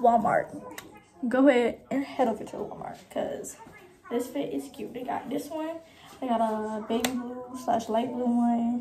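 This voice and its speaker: In an American accent, a woman talks at a fairly slow pace. Her voice is high, with light background noise. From Florida. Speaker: vlogger. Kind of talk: casual travel vlog narration. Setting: outdoors. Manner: animated. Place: home room. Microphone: phone near.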